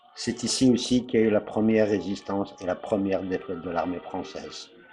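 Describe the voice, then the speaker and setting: At a fairly quick pace, a man talks in an ordinary speaking voice with fairly even intonation. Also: fairly low pitch for a man. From Algeria, Blida region. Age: 50s. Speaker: chef and landowner. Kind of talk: personal appeal; documentary narration.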